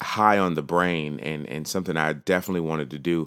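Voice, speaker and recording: In an American accent, the speaker keeps a fairly even intonation on a very clean recording with a silent background. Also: man. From New York. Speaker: podcast host. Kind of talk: casual solo podcast talk.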